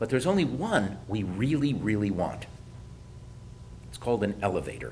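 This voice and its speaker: A man with an American accent talks at a moderate pace and fairly low pitch, somewhat breathy, with lively intonation and audible room echo. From US Midwest (Detroit). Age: 60s. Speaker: economist presenter. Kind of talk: presentation.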